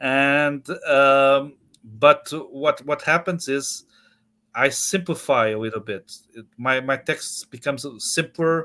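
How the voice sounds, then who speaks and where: Over a very clean recording with a silent background, a man with a Portuguese accent speaks at a very slow pace. His tone is bright and sharp, his pitch varies in an ordinary way, and his loudness swings widely. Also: fairly high pitch for a man. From Portugal. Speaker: author. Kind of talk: interview. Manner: halting, many repetitions.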